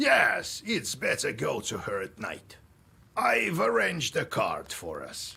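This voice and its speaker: A man's raspy, stern put-on character voice at a fairly slow pace. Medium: video game. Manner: stern, gruff.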